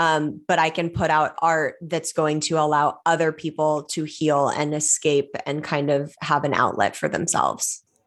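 A woman with a Californian accent, very deep and low in pitch, monotone and flat, at a moderate pace with hardly any pauses and very even loudness, on a very clean recording with a silent background. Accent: Californian American. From Los Angeles, California. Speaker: author and actress. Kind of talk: interview conversation.

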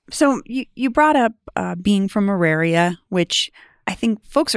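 A plain, everyday voice with lively intonation moves at a moderate pace on a very clean recording with a silent background. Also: woman. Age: 40s. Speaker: podcast host. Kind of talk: interview.

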